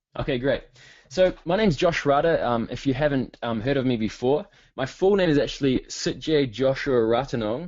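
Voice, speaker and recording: A man talks with a New Zealand accent. His pitch varies in an ordinary way. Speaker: online marketing coach. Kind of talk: webinar presentation. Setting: online webinar. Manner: fast; hesitant with many fillers.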